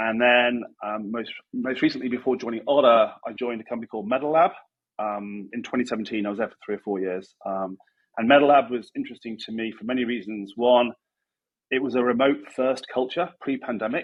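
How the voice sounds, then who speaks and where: Speaking at a fairly quick pace in a British accent, a man uses a medium pitch with ordinary pitch variation. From UK. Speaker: chief design officer, tech guest. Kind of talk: interview.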